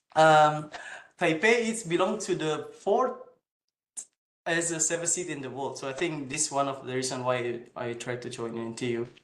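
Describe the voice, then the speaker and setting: Audible room echo colors a man's fairly high-pitched voice. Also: lively intonation, moderate pace. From Indonesia. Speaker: PhD student. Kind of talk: presentation. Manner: halting.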